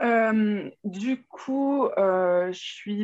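A woman talks with ordinary pitch variation, the background quiet. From Burgundy, France (Saône-et-Loire). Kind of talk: interview testimony.

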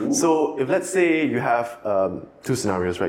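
A man speaks at a moderate pace, with noticeable noise in the background. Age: 20s. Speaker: marketing professional. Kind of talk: casual chat.

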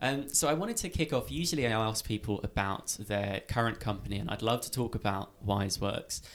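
With an unremarkable speaking voice, a man talks at a fairly quick pace with lively intonation and hardly any pauses. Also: medium pitch for a man. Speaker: podcast host. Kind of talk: interview, casual conversation.

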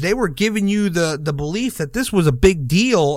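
In a very clean recording with a silent background, a man uses a normal speaking voice at a moderate pace. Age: 30s. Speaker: wrestling podcast host. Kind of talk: casual chat.

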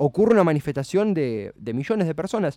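With a dark, mellow tone and lively intonation, a man talks at a fairly quick pace in a dry, close sound with no echo. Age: 20s. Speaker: radio host. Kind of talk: casual radio talk show.

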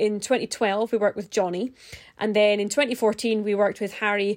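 Talking at a moderate pace, a woman uses a normal speaking voice with a fairly high pitch. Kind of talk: podcast hosting, interview intro.

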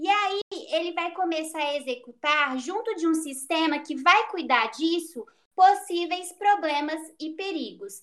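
This woman's voice sits at an extremely high pitch with lively intonation. She speaks at a fairly slow pace. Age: 20s. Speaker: psychology student. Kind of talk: casual interview. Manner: halting.

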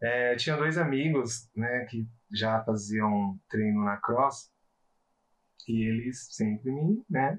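At a very slow pace, a man speaks. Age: 30s. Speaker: quality inspector sharing weight-loss story. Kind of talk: interview, personal testimony.

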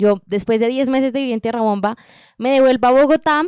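A woman speaks with a high pitch in a dry, close sound with no echo. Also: very clean recording, silent background. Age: 20s. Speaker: women's rights organization director. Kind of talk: podcast interview.

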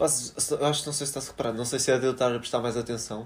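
A man is speaking. His pace is very fast. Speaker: podcast co-host. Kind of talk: casual chat. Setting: recording together with a single recorder.

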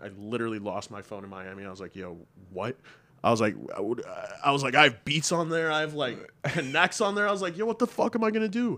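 Talking at a very fast pace, a man with a Western New York accent uses a fairly high pitch and very wide pitch swings. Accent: Western New York American. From Buffalo, New York area. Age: 20s. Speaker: music producer. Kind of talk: casual chat.

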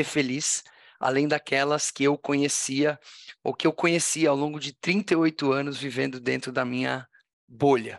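A man with an ordinary speaking voice talks at a fairly slow pace in a fairly high pitch, with ordinary pitch variation and a dry, close sound with no echo over a quiet background. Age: 40s. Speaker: tech entrepreneur and social impact founder. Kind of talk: interview conversation.

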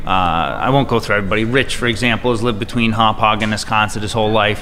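A man rushes through his words very fast, with room echo and clearly audible background noise around him. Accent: American. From Long Island, New York. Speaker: real estate agent. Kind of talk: interview.

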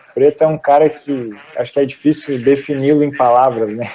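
A man speaks at a moderate pace in a fairly high pitch, with an unremarkable speaking voice. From Rio Grande do Sul, Brazil. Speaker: podcast host. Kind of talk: casual interview chat. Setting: video call.

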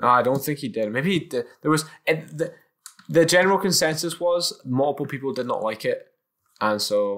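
A man with a fairly high pitch talks at a moderate pace. His tone is animated and his intonation lively. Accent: Scottish. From Scotland, Edinburgh. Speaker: podcast host. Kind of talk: casual chat. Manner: animated, jokey.

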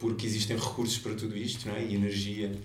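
A man of medium pitch talks at a very fast pace, with audible room echo and noticeable background noise. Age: 30s. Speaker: environmental activist. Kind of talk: interview.

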